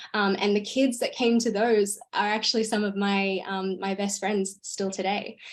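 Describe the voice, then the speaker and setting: With hardly any pauses, a woman speaks at a medium pitch with fairly even intonation. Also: moderate pace. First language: Hungarian. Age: 20s. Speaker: grown worldschooler and author. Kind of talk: live stream interview.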